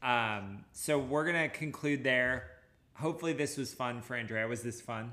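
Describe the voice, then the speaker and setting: A man's bright, sharp voice with an American accent, at a medium pitch with ordinary pitch variation and a moderate pace, plus audible room echo. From Washington State (Anacortes). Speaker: running podcast host, running store owner. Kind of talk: casual chat.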